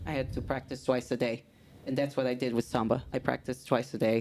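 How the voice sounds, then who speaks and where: Speaking at a fairly quick pace, a woman has a dark, mellow tone. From Brazil, São Gonçalo (Rio de Janeiro). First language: Portuguese. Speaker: samba instructor. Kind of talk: casual interview chat. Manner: animated.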